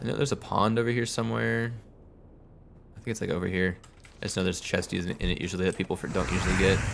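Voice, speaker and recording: A man with a very deep, low voice races along at a very fast pace, swinging his pitch very widely and leaving long, frequent pauses. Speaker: video game streamer. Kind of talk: live gameplay commentary. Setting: live stream. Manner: casual, rambling.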